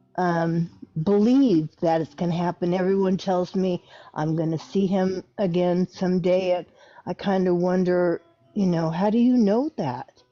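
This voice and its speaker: Music plays behind a woman speaking at a fairly slow pace. Her pitch is medium, with ordinary variation. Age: 60s. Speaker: caller. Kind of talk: casual chat.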